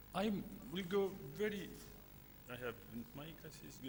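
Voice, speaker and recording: A man's voice makes very wide pitch swings, heard with audible room echo. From Syria. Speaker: physician, conference speaker. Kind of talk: conference presentation.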